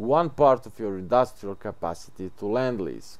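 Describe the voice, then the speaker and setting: A man speaks with a non-native accent at a fairly slow pace. His pitch sits in the medium range. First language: not English. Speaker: gaming video creator. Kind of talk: gameplay tutorial.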